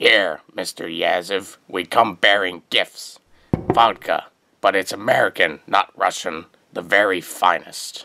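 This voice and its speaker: His pitch sits fairly low. The man talks at a fairly slow pace. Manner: flattering, nervous.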